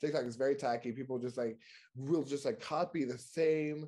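A man with an American accent talks at a fairly quick pace over a quiet background. His medium-pitched voice has a dark, mellow tone. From New York. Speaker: podcaster. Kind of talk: casual chat.

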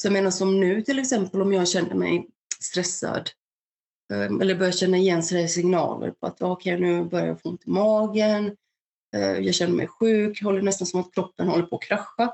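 A woman speaks in an unremarkable speaking voice at medium pitch. Her pace is moderate and her intonation fairly even. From Balkans, raised in Värmland, Sweden from age 8. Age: 30s. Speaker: mental health ambassador, war refugee. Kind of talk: personal testimony.

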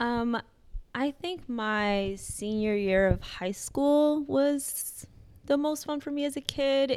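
A woman with an American accent talks in a very clean recording against a silent background. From US Midwest, Chicago. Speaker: dean of students. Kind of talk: casual interview.

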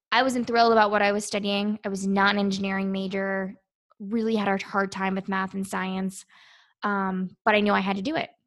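A woman with an American accent talks at a fairly quick pace, her pitch medium and her intonation monotone and flat. The recording is very clean, with a silent background. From Virginia, US. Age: 20s. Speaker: naval officer and beauty pageant contestant. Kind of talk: interview.

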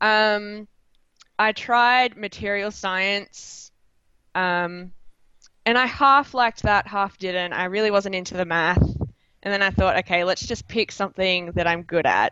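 Fairly slow in pace, this speaker has an Australian accent and ordinary pitch variation. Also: woman, medium pitch for a woman. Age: 20s. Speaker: chemistry student and club founder. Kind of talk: interview.

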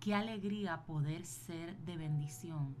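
Over music in the background and audible room echo, a woman speaks very slowly with lively intonation. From Puerto Rico. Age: 40s. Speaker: podcast host, business and wellbeing coach. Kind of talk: motivational solo podcast talk.

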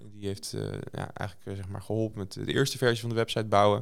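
On a very clean recording with a silent background, a man speaks at a fairly quick pace with a fairly low pitch and fairly even intonation. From South Holland, Netherlands (Moordrecht). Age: 30s. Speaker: tech entrepreneur and investor. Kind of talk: interview. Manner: hesitant, many filler sounds.

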